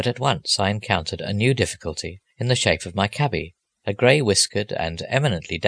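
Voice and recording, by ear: Against a quiet background, this is reading aloud in a natural voice with lively intonation.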